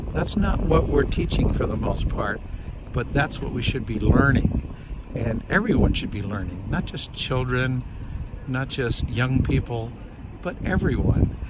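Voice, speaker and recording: A man talks at a fairly slow pace with audible room echo. Noticeable background noise is present. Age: 70s. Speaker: environmental commentator / elder. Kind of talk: casual monologue vlog. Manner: reflective, with filler hesitations.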